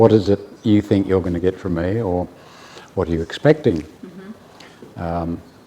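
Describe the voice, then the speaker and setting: A man with an Australian accent at a moderate pace. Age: 70s. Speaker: bespoke tailor. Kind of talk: interview answer.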